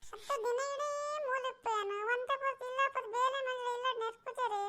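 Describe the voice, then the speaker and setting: In a cartoonish character voice, a woman speaks fairly slowly at an extremely high pitch. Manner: exasperated, argumentative.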